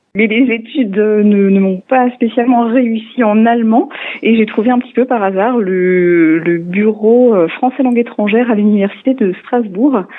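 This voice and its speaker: A woman's fairly high voice at a fairly slow pace, with ordinary pitch variation, very even loudness and noticeable background noise. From Alsace, France (Niedersteinbach, northern Vosges). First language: Alsatian (speaking French). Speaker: French language teacher. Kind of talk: radio interview. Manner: hesitant, many fillers.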